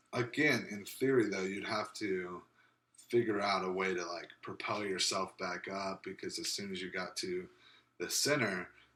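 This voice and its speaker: Pitched fairly low, a man with a plain, everyday voice talks at a moderate pace with ordinary pitch variation. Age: 20s. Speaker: podcast co-host. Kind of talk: casual chat.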